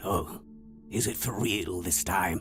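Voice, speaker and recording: A man uses a raspy, put-on character voice over clear background noise. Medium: video game. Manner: erratic, riddling.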